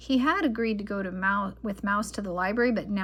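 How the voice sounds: The clip carries a natural reading voice.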